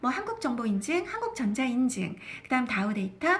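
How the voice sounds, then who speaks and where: A woman at a moderate pace with a high pitch. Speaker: stock market broadcaster. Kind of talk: investment talk show.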